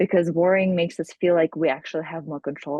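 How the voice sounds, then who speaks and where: This woman has a non-native accent. She speaks at a fairly low pitch. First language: not English. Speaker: hypnotherapist. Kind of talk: interview.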